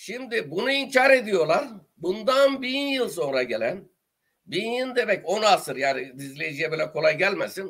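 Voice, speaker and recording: In an Eastern Anatolian accent, a man with a high pitch speaks animatedly at a fairly slow pace, his pitch swinging very widely. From Turkey, Dersim (Tunceli). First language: Zazaki (speaking Turkish). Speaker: writer and journalist, retired teacher. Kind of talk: interview.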